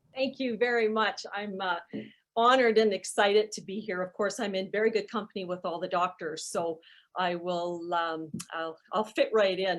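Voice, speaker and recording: A woman with an Alberta accent speaks at a moderate pace with ordinary pitch variation against a quiet background. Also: medium pitch for a woman. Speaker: charity CEO, moderator. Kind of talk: webinar moderation.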